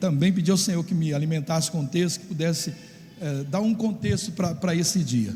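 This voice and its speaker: Noticeable background noise and audible room echo surround a man speaking at a fairly quick pace. His pitch is fairly high, with ordinary pitch variation. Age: 60s. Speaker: pastor. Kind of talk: sermon. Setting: church. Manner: halting.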